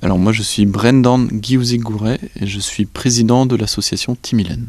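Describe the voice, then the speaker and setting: A man with a Breton accent speaks at a moderate pace. His pitch is medium and his intonation fairly even. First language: Breton (speaking French). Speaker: association president, librarian. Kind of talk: interview. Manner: hesitant, many fillers.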